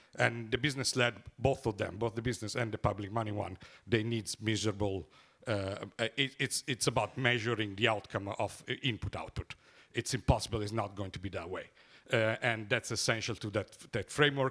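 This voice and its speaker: On a very clean recording with a silent background, a man with an Italian accent speaks fairly quickly at medium pitch, in a bright, sharp tone with fairly even intonation. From Italy. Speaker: economist, symposium rapporteur. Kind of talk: conference summary talk. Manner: halting, many fillers.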